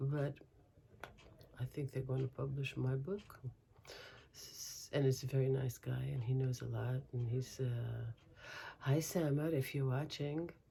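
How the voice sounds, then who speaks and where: In an American accent, a woman speaks at a fairly slow pace with long, frequent pauses. Her very deep, low voice is dark, mellow and somewhat breathy. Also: fairly even intonation. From Brooklyn, New York. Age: 60s. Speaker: crochet vlogger. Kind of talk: casual vlog chat. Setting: home, windows open. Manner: halting, many fillers.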